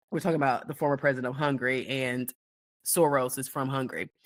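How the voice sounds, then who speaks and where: A woman's very deep, low-pitched voice with a bright, sharp tone, in a very clean recording over a silent background. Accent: American. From United States. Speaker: political commentary host. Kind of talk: opinion monologue.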